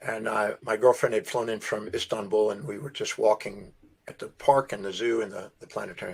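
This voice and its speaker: An ordinary speaking voice with an American accent moves at a fairly quick pace. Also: man. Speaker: self-development speaker. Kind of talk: podcast interview storytelling.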